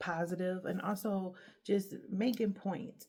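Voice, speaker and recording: With a dark, mellow tone and vocal fry, a woman speaks with ordinary pitch variation. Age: 30s. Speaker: podcast host. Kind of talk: solo motivational talk. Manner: halting, stuttering.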